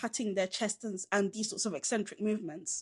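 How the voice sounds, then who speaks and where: A woman speaks at a fairly quick pace in a Southern English accent. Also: quiet background. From southern England, Caribbean heritage. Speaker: film podcast co-host. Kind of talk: film review chat. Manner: casual, conversational.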